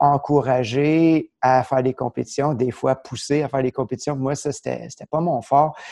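A very slow, dark, mellow delivery with fairly even intonation and dry, close sound with no echo. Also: man. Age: 40s. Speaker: martial arts instructor. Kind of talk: casual interview chat.

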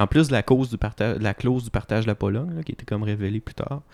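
Talking at a very fast pace, a man is heard in a very clean recording with a silent background and a dry, close sound with no echo. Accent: Quebec. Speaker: podcast co-host. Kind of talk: casual chat.

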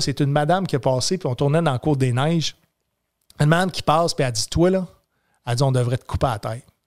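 In a Quebec accent, a man speaks very fast with lively intonation, his sound dry and close with no echo on a very clean recording with a silent background. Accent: Québécois French. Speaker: comedian and military veteran. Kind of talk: casual chat.

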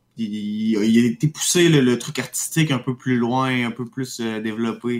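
Here a man talks fairly slowly with a Quebec accent. His pitch is medium and his intonation fairly even. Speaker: radio co-host. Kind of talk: casual radio chat. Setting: home studio, remote.

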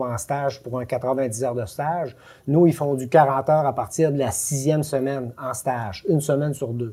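The man's voice sits at a fairly high pitch, with a dark, mellow tone and a somewhat breathy quality. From Quebec, Lac-Saint-Jean. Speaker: educational advisor, former truck driver. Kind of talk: casual interview.

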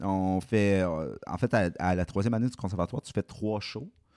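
In a very clean recording with a silent background, a man with a very deep, low pitch speaks with ordinary pitch variation, the sound dry and close with no echo. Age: 20s. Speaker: film director and screenwriter. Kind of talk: casual podcast interview.

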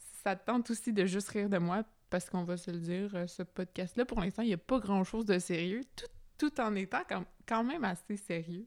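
Speaking with a Quebec accent, a woman of medium pitch keeps a moderate pace, her pitch varying in an ordinary way and her loudness swinging widely. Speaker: podcast host. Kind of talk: casual monologue. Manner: spontaneous, hesitant.

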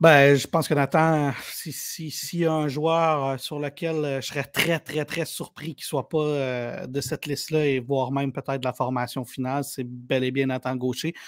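A man speaks at a fairly high pitch in a monotone, flat intonation with hardly any pauses, on a very clean recording with a silent background. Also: moderate pace. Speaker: sports journalist. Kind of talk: casual chat.

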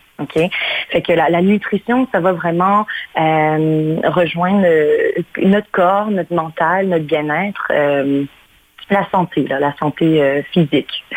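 Over noticeable background noise, a woman with a fairly low pitch speaks at a very slow pace, with ordinary pitch variation and very even loudness. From Mauritius, then Canada from age 9. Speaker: cooking enthusiast. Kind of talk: radio interview.

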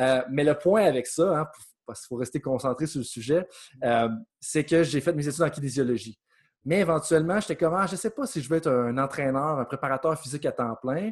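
Against a quiet background, a man speaks at a fairly quick pace. His pitch is fairly high, with ordinary variation. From Quebec, Beauce (Saint-Georges). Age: 30s. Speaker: sports coaching researcher and consultant. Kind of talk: interview.

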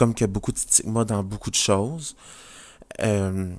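A man's fairly low-pitched voice at a moderate pace, with fairly even intonation. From New Brunswick, Canada. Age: 20s. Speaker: nurse and podcast host. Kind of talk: casual podcast introduction monologue. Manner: hesitant, many fillers.

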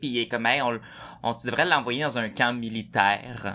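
In a Quebec accent, a man speaks at a moderate pace with a bright, sharp tone. The recording is very clean, with a silent background. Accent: Québécois French. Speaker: podcast host. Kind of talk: casual chat.

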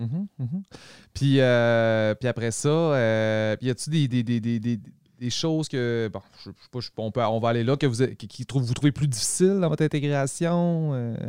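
An ordinary speaking voice from a man at medium pitch, with ordinary pitch variation and a moderate pace, dry and close with no echo, on a very clean recording with a silent background. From Quebec, Saguenay–Lac-Saint-Jean. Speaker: podcast host. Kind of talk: casual interview. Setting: studio.

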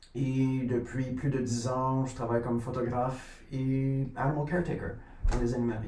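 In a flat monotone, a man talks at a medium pitch and moderate pace, with audible room echo and noticeable background noise. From Quebec, near Sorel. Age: 30s. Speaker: photographer and animal caretaker. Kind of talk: casual chat.

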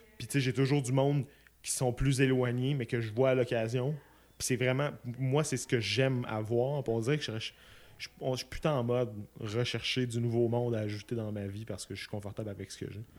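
A man talks with a Quebec accent. His intonation stays fairly even. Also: medium pitch for a man, fairly quick pace. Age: 20s. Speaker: podcast guest, close friend of host. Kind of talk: casual chat.

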